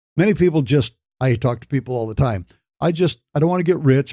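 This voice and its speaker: A man with an American accent has a dark, mellow tone and lively intonation. His sound is dry and close, with no echo. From Michigan, US Midwest. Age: 60s. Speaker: podcast host, business coach. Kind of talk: motivational podcast talk.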